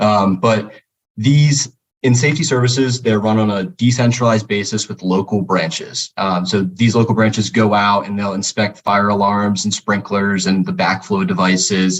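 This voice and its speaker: Here a man speaks with a fairly low pitch and ordinary pitch variation. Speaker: stock analyst and newsletter author. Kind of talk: interview. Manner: fast.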